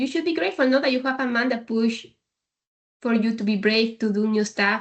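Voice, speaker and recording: This is a woman's voice. It sits fairly high and shows ordinary pitch variation. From Peru. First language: Spanish. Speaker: logistics leader. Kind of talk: podcast interview. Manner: confident.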